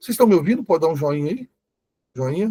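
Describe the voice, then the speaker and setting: A man with a dark, mellow tone and a somewhat breathy voice uses lively intonation, recorded with a dry, close sound and no echo. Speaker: Bible teacher. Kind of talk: online lecture.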